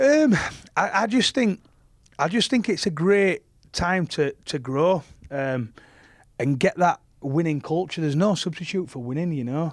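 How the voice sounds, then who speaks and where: A man with a high-pitched voice and a Yorkshire accent speaks at a moderate pace with lively intonation and long, frequent pauses. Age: 30s. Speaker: professional rugby league player. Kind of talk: casual interview chat.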